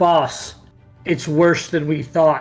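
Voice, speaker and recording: A man does a put-on character voice at a fairly high pitch with monotone, flat intonation, faint music playing in the background. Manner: worried, urgent.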